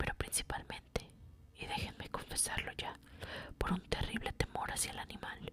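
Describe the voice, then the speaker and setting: Noticeable noise fills the background. A woman whispers fairly slowly. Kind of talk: whispered ASMR reading of a classic short story. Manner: whispered, soft.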